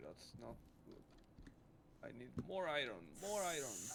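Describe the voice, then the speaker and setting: The speaker talks at a fairly slow pace with a Mexican accent. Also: man. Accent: non-stereotypical Mexican. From Mexico. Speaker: streamer. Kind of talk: casual chat.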